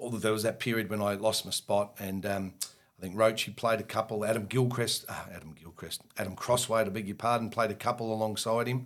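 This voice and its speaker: A man with an Australian accent talks fairly quickly at a medium pitch, his intonation monotone and flat. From Victoria, Australia. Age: 50s. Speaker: retired cricketer and coach. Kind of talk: casual interview.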